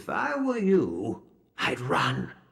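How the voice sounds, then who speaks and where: Using a put-on character voice, a man sounds raspy. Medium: game stream. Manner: grave, hushed, slightly archaic.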